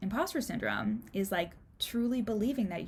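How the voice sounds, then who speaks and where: A woman talks fairly quickly, her voice somewhat breathy. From Canada. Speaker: life coach and podcast host. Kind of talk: solo podcast talk. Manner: casual, many fillers.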